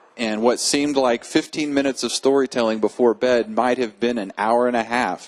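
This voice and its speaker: Speaking in a normal speaking voice, a man talks at medium pitch and a fairly quick pace with fairly even intonation, in a dry, close sound with no echo. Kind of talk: interview answer.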